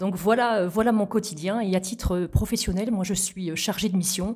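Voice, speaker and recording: This woman has a medium pitch and a dark, mellow, somewhat breathy tone. Her pace is moderate and her intonation fairly even. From Normandy, Calvados (Vire area). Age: 40s. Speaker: regional politician and mayor. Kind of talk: interview. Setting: in person at the guest's town. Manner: formal.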